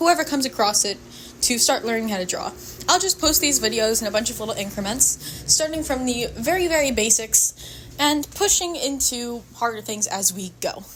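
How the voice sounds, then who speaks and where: Amid noticeable background noise, a woman with a fairly high pitch talks at a moderate pace, her pitch swinging very widely. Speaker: drawing tutorial video maker. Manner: stutters.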